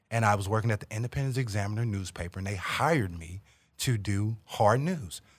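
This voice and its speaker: A man talks at a fairly quick pace in a normal speaking voice, fairly low in pitch with ordinary pitch variation. The recording is very clean, with a silent background. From St. Louis, Missouri, US. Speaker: opinion writer and author. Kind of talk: podcast interview. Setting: studio.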